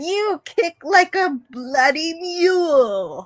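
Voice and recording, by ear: The speaker uses a put-on character voice with an Australian accent as part of the act, pitched extremely high. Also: very slow pace.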